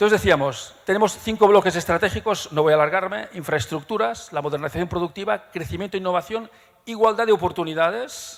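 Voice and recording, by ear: A man speaks at a fairly quick pace with few pauses. His pitch is high, with ordinary variation.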